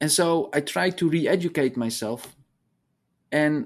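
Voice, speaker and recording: Against a quiet background, a man with a Dutch accent speaks at a fairly high pitch. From Netherlands. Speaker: hydrology professor. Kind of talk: interview conversation.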